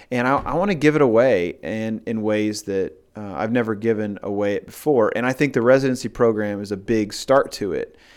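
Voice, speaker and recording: A man with an ordinary speaking voice talks at a fairly quick pace and medium pitch, using ordinary pitch variation and hardly any pauses. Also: very clean recording, silent background. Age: 40s. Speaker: pastor. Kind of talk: casual interview.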